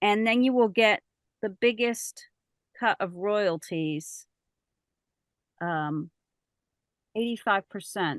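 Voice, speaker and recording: A woman with a medium pitch speaks at a very slow pace with long, frequent pauses and ordinary pitch variation, in a dry, close sound with no echo. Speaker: voice actor and audiobook narrator. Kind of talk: presentation to a writers group. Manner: casual, conversational.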